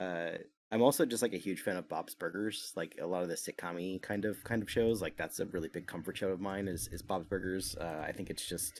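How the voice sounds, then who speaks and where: On a very clean recording with a silent background, a man speaks in an American accent. His pitch is very deep and low, with ordinary variation, at a fairly quick pace. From New Jersey, US. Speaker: animation art director. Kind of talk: interview. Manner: casual with many fillers.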